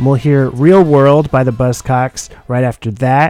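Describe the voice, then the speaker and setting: A man with an unremarkable speaking voice and a fairly high pitch is heard. His intonation is fairly even and his pace moderate. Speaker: radio host. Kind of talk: radio DJ patter, casual music show. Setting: studio.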